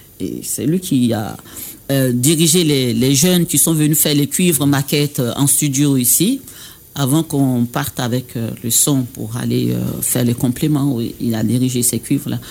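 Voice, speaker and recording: The speaker has an Ivorian accent and talks at a fairly slow pace. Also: man, medium pitch for a man, ordinary pitch variation. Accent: Baoulé-accented French. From Côte d'Ivoire (Baoulé). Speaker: singer and dubbing studio director. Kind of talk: radio interview. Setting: radio studio. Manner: halting.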